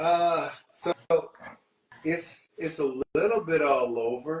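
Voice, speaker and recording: A man with an American accent speaks at a fairly high pitch. He goes at a very slow pace with ordinary pitch variation. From US Midwest, Columbus Ohio. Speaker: singer in a music duo. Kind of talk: casual interview chat.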